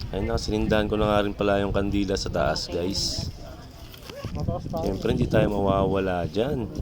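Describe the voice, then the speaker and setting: A man with a fairly low pitch and ordinary pitch variation talks at a moderate pace, taking long, frequent pauses. Noticeable background noise and audible room echo fill the recording. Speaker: vlogger. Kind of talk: casual vlog narration. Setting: outdoors at a cemetery.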